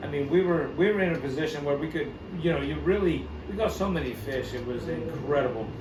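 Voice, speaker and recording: There is noticeable background noise and audible room echo. A man speaks at a fairly quick pace. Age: 50s. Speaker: fishing shop owner. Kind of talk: casual chat.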